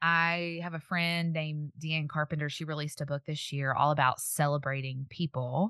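A woman speaks in a very deep, low pitch with a bright, sharp tone and fairly even intonation, hardly pausing, in a dry, close sound with no echo over a quiet background. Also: moderate pace. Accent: Southern US. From Tennessee. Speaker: podcaster, speaker and author. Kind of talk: casual interview chat.

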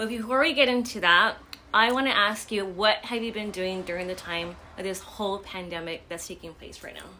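Against noticeable background noise, a woman talks at a fairly quick pace with a medium pitch. Her pitch varies in an ordinary way and her loudness swings widely. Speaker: podcast host. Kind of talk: casual interview.

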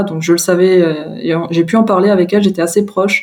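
A woman speaks at a moderate pace in a medium pitch with a dark, mellow tone. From France, Moselle (Lorraine). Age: 30s. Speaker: interviewee sharing coming-out story. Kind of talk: personal testimony interview. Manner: hesitant, many fillers and repetitions.

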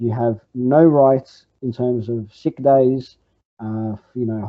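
Fairly even intonation marks this fairly slow delivery. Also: man. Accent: Australian. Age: 20s. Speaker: communist party member. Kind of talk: interview. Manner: halting.

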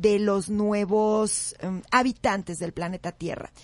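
Somewhat breathy, a woman speaks at a very slow pace. Her intonation stays fairly even. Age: 40s. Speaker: radio host. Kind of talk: radio talk show.

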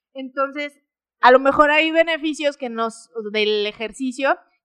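A woman's high, bright, sharp voice with a Mexican accent, ordinary pitch variation and a fairly slow pace, in a dry, close sound with no echo. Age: 20s. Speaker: fitness podcaster. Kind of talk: casual talk-show monologue.

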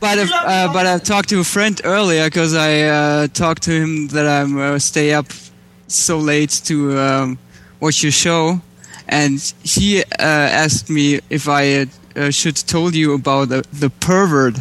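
A very slow, fairly high-pitched man's voice with a German accent, fairly even intonation and very even loudness. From Germany. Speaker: caller. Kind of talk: casual chat.

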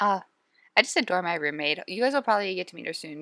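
A woman's medium-pitched voice with vocal fry and a bright, sharp tone, in a dry, close sound with no echo. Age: 20s. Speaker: podcast host on eating disorder recovery. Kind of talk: casual monologue. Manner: conversational, filler-heavy.

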